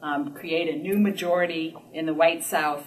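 A woman talks at a moderate pace, her pitch varying in an ordinary way, with light background noise behind her. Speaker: lecturer or speaker. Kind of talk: lecture. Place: meeting room. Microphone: camera far.

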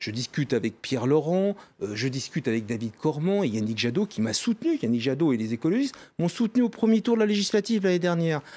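The voice has a dark, mellow tone and very wide pitch swings, moving at a fairly quick pace. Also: man. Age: 40s. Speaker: politician. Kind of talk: political interview. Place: studio. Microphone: studio mic.

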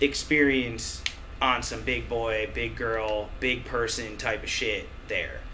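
A man speaks with an American accent. He goes at a very slow pace over light background noise. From US Midwest. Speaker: musician. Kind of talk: casual chat. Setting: studio. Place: office.

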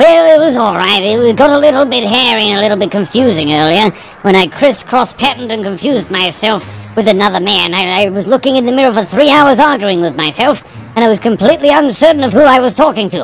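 A female-sounding, put-on character voice rattles along at a very fast pace and fairly high pitch. Clear background noise is present. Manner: rambling, polite, absurd.

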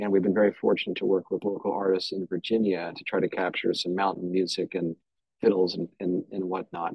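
Against a quiet background, a man with a very deep, low pitch speaks at a fairly quick pace in a monotone, flat intonation, the sound dry with no echo. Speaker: historian and podcast producer. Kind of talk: panel discussion. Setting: video call. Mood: wry, animated. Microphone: video call.

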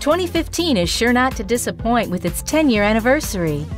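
A woman talks fairly quickly while music plays in the background. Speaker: voice actor. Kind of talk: promotional video voiceover, corporate narration.

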